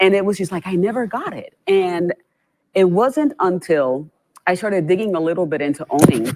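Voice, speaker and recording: In a Puerto Rican accent, a woman with a fairly low voice speaks at a fairly quick pace, her tone animated and her intonation lively. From Puerto Rico. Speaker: nonprofit chief executive. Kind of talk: panel discussion.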